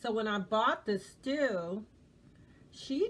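A somewhat breathy woman at a fairly slow pace, with light background noise. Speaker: home vlogger. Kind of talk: casual vlog chat. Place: home room. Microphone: phone near.

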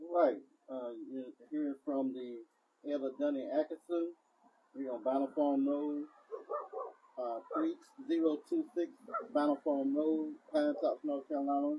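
At a fairly slow pace, a man talks at a fairly high pitch with big pitch swings and a slightly husky edge.

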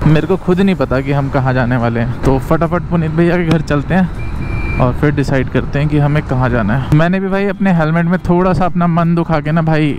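Over noticeable background noise, a man speaks with very even loudness, ordinary pitch variation and hardly any pauses, the sound dry with no echo. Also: moderate pace. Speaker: motovlogger. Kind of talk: casual vlog chat. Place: motorbike. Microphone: helmet.

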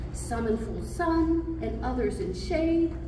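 A woman speaks at a very slow pace. Noticeable background noise and audible room echo surround her voice. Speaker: poet. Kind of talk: poetry reading, spoken word. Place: hall. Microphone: camera far.

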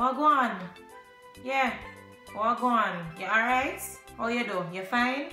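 A woman with a Jamaican accent speaks at a very slow pace and fairly high pitch, with ordinary pitch variation and long, frequent pauses. Faint music plays in the background, and audible room echo surrounds her voice. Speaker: vlogger. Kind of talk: casual talk to camera. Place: home room. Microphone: phone near.

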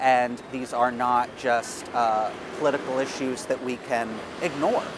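A man's voice comes through a dry sound with no echo amid noticeable background noise. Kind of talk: interview answer. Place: street.

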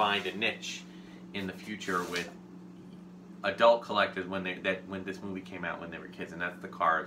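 A man's very deep, low voice at a fairly quick pace with monotone, flat intonation, amid noticeable background noise. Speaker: toy collector host. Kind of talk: casual unboxing show talk. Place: home room.

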